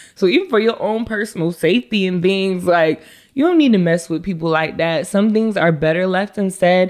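A woman's ordinary speaking voice, medium-pitched with ordinary pitch variation, at a fairly quick pace. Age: 20s. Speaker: social media manager. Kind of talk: casual chat.

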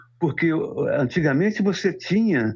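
A man talks at a fairly slow pace. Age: 70s. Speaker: photojournalist. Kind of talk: interview. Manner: halting.

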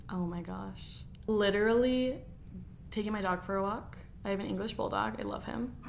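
A woman with an American accent speaks at a moderate pace amid audible room echo. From Arizona (Gilbert). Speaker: esthetician and podcast co-host. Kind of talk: casual chat. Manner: animated.

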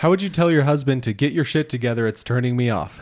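Over a very clean recording with a silent background, a man talks with lively intonation in a US Midwestern accent. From southeast Iowa, US Midwest. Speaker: podcast co-host. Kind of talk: casual chat. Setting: studio.

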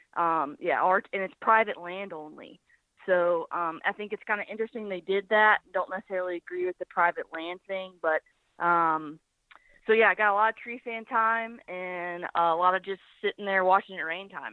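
In a Southern US accent, a woman of medium pitch speaks at a moderate pace with fairly even intonation and big swings in loudness. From US South, Birmingham, Alabama. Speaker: hunter. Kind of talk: casual interview. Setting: phone call.

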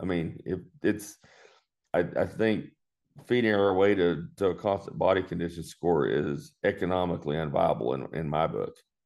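Speaking at a moderate pace with a West Texas accent, a man has a very deep, low pitch and ordinary pitch variation. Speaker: farmer and veterinarian. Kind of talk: interview.

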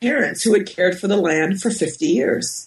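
A woman's somewhat breathy voice moves at a moderate pace, her intonation lively. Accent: American. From US Northeast, Westchester County, New York. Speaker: professor and author. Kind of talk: interview. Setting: at home.

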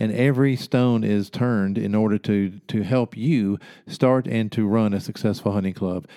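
The voice has a dark, mellow tone and fairly even intonation. The recording is very clean, with a silent background. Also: man. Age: 50s. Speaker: hunting podcast host.

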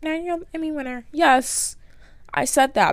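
The woman's pace is moderate. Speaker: solo podcast host. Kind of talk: casual monologue. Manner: animated, laughing often.

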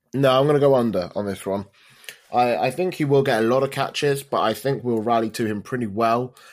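This man speaks with a British accent and ordinary pitch variation. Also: medium pitch for a man, fairly quick pace. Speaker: football fan podcaster. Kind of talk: casual chat.

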